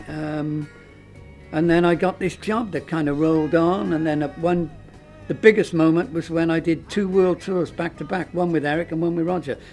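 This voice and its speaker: Music plays behind a man speaking at a high pitch. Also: fairly even intonation, moderate pace. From Cardiff, South Wales. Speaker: musician, singer. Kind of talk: interview answer.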